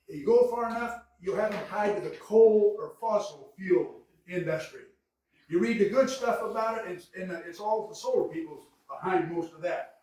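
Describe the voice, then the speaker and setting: In a room with audible echo, a man with an American accent speaks at a moderate pace and a high pitch, his intonation lively and his loudness swinging widely. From Kansas, Mulberry. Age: 70s. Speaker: city council member. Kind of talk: public meeting debate. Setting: city council meeting. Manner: animated.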